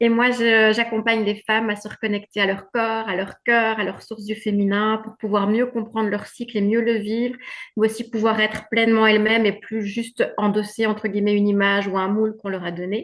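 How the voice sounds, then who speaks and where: A woman with a Belgian accent speaks at a fairly quick pace with hardly any pauses, her fairly high voice monotone and flat. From Belgium. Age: 50s. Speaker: women's wellbeing coach. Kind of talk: testimony.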